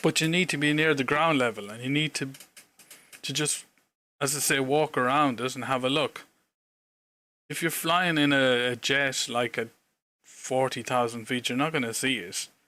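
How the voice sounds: A man's bright, sharp voice with an Irish accent, medium pitch, ordinary pitch variation, moderate pace and long, frequent pauses, in a very clean recording with a silent background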